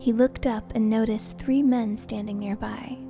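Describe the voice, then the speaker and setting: With music in the background, a woman talks at a moderate pace, her fairly high pitch showing ordinary variation. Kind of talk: scripture reading, audiobook-style Bible narration. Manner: calm, gentle, soothing.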